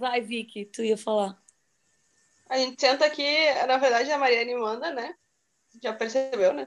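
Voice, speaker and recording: Her pitch high and her pitch variation ordinary, a woman speaks at a moderate pace with long, frequent pauses. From Rio Grande do Sul, Brazil. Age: 30s. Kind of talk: casual chat. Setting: video call.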